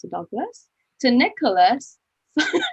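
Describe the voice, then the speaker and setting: The recording is dry and close, with no echo. A woman speaks in a somewhat breathy voice. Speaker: online event host. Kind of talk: hosting a live online testimony event. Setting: live online stream. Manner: halting, many fillers.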